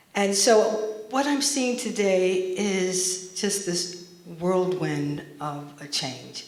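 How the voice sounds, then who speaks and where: With an American accent and a fairly low pitch, a woman speaks with lively intonation, audible room echo and noticeable background noise. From US Northeast (Montclair, New Jersey). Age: 60s. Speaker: artist. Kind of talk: panel talk.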